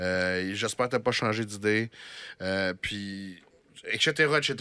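Very slowly, a man with a Quebec accent speaks in a bright, sharp tone with ordinary pitch variation. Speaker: podcast host. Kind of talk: casual chat. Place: studio. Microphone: studio mic.

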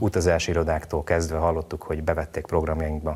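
Very fast and somewhat breathy, a man talks at a very deep, low pitch with monotone, flat intonation. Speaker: TV show maker, guest. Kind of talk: interview answers. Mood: calm, earnest. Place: studio. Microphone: lapel.

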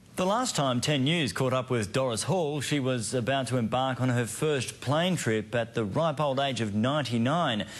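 A man speaks at a moderate pace with hardly any pauses, very even loudness and ordinary pitch variation. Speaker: TV news presenter. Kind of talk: TV news intro. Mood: warm, light story tone. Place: studio. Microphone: lapel.

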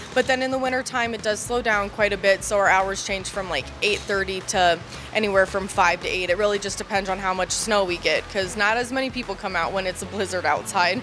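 With music in the background, a woman talks at a fairly quick pace with hardly any pauses and fairly even intonation. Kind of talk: interview answer. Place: shop. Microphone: handheld.

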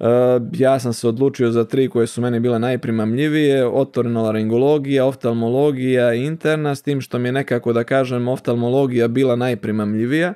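Over a quiet background, a man talks at a fairly quick pace. His tone is dark and mellow, and his intonation is fairly even. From Montenegro, Bar; Montenegro. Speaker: ENT surgeon; guest. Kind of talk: interview. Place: studio. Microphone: studio mic.

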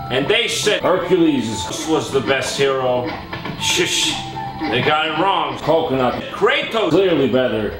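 A man talks at a fairly slow pace with audible room echo and clear music in the background. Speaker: comedy gaming host. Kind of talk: comedic scripted monologue. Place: home room.

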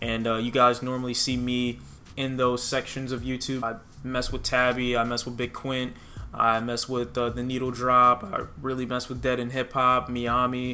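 A man with an American accent speaks at a moderate pace and medium pitch. His intonation is monotone and flat, over light background noise. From Detroit, Michigan. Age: 20s. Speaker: youtuber, music reviewer. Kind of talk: Q&A video monologue. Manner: casual, conversational. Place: home room.

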